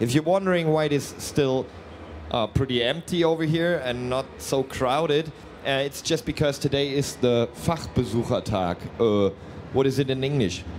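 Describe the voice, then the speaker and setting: A man speaks with a slight German accent. His pitch is fairly high. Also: ordinary pitch variation, moderate pace. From Germany. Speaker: company representative presenting products. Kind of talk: live product presentation. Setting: trade fair booth, live stream. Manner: hesitant, many fillers.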